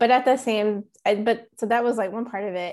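A woman with an unremarkable speaking voice talks at a fairly quick pace and a fairly high pitch, with fairly even intonation. The recording is very clean, with a silent background. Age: 30s. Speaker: lawyer and patient advocate. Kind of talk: interview.

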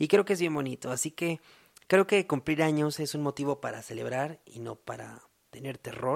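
Loudness swings widely while pitch varies in an ordinary way. The sound is dry and close with no echo, and the pace is moderate. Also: man, fairly high pitch for a man. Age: 20s. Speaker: podcast host. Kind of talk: casual monologue.

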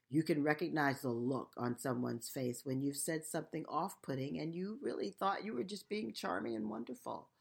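A woman speaks at a fairly quick pace with hardly any pauses, her very deep, low pitch carrying vocal fry and very wide pitch swings. She has an American accent, and the recording is very clean with a silent background. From United States. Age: 60s. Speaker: podcast host and nonprofit founder. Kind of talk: solo podcast monologue.

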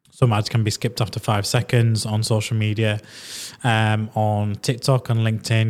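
On a very clean recording with a silent background, a man with a Yorkshire accent speaks at a moderate pace. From northern England. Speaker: podcast host. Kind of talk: casual interview chat.

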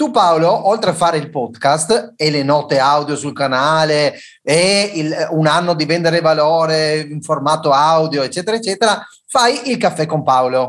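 With a quiet background, the delivery keeps a moderate pace. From Trieste, northeast Italy. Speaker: food safety and hygiene technician. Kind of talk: casual chat, quiz game.

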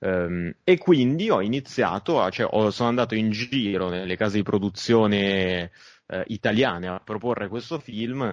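A plain, everyday voice from a man, fairly low in pitch with ordinary pitch variation, at a moderate pace against a quiet background. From Milan, northern Italy. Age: 30s. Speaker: film director. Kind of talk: interview.

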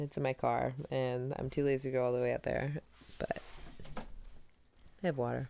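Loud and at a moderate pace, a woman speaks. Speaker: podcast co-host. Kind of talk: casual chat.

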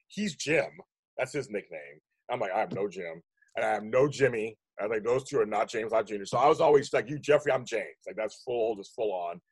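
With an American accent, a man talks at a fairly quick pace, his voice somewhat breathy and his intonation lively. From Pittsburgh, US. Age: 50s. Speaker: podcast host. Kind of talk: casual interview chat.

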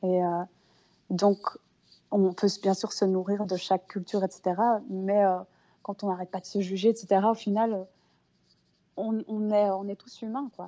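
A woman speaks at a medium pitch and a very slow pace with long, frequent pauses. Her intonation is monotone and flat, while her loudness swings widely. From Brussels, Belgium. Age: 30s. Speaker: harpist and singer. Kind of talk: interview.

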